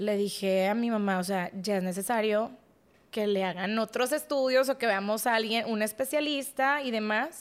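Speaking at a moderate pace in a normal speaking voice, a woman with a fairly high pitch and ordinary pitch variation is heard on a very clean recording with a silent background. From Mexico, Monterrey. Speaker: podcast guest. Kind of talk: testimony.

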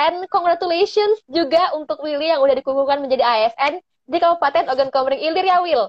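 A woman talks very fast, with hardly any pauses. Her pitch is high, with ordinary variation. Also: very even loudness. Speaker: podcast host. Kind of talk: casual interview.

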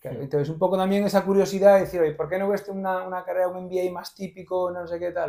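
A man's high-pitched, dark and mellow voice at a very fast pace, with fairly even intonation. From Galicia, Spain (Vigo). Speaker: entrepreneur and investor. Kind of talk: interview. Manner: talkative.

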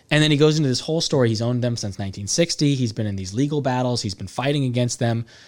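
Over a silent background in a very clean recording, a man with an American accent talks very fast at a medium pitch with ordinary pitch variation. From California, Salinas. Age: 30s. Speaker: real estate entrepreneur. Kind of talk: casual chat. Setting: studio.

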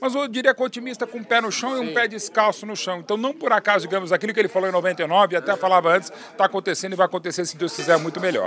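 Noticeable background noise surrounds a man with a high pitch and ordinary pitch variation. He talks at a very fast pace with hardly any pauses. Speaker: sports journalist. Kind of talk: tribute speech; casual chat.

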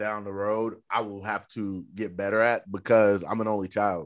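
A man speaks in a fairly low pitch with an American accent. The recording is very clean, with a silent background. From Oklahoma. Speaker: podcast host. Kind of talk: casual interview.

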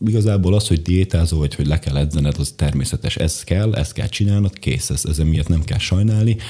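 A very fast, somewhat breathy delivery with very even loudness and ordinary pitch variation. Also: man, very deep, low pitch for a man. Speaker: bodybuilder and medical assistant. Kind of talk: casual interview chat. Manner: halting, self-interrupting, rambling.

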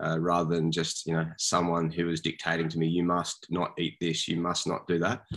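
A man with an Australian accent talks at a fairly quick pace in a very deep, low pitch with monotone, flat intonation. The recording is very clean, with a silent background. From Sydney, Australia. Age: 40s. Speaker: small business owner. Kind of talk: interview.

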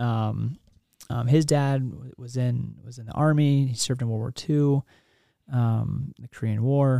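In an American accent, a man with a dark, mellow tone and medium pitch speaks at a fairly slow pace with fairly even intonation. His loudness swings widely, on a very clean recording with a silent background. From US Midwest (Kansas). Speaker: army officer. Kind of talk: interview. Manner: halting.

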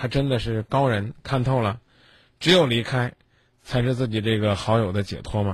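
With long, frequent pauses, a man talks in a somewhat breathy voice with fairly even intonation. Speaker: late-night radio call-in host. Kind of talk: radio call-in advice show. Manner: blunt, direct.

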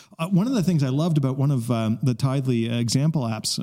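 Lively in intonation, a man of medium pitch speaks at a fairly quick pace with a dark, mellow tone. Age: 30s. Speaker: podcast host. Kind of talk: casual chat. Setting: studio.

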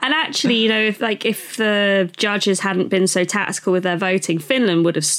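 A woman with a British accent at a medium pitch, fairly quick pace with hardly any pauses, very even loudness, and noticeable background noise. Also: ordinary pitch variation. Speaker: podcast co-host. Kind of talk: casual chat.

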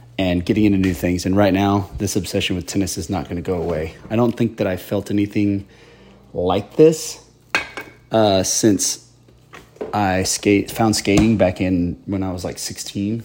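A man speaks with a fairly low pitch. Noticeable background noise sits behind him. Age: 40s. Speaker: podcast host. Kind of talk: casual solo monologue. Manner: casual with many fillers.

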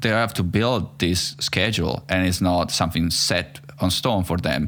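A man's very deep, low voice with an Italian accent, lively intonation, very even loudness and a moderate pace, on a very clean recording with a silent background. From Italy. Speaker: podcast host. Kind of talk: casual interview conversation.

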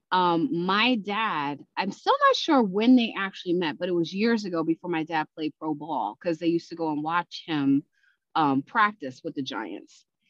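An unremarkable speaking voice from a woman, fairly low in pitch, with lively intonation at a moderate pace. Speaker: podcast host. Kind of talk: casual chat.

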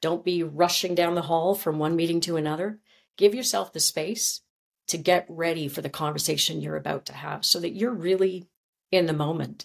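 With a Canadian accent, a woman talks at a moderate pace in an ordinary speaking voice. Her pitch is fairly low, with ordinary pitch variation. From Canada. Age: 50s. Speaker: former journalist and communications coach. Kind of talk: interview.

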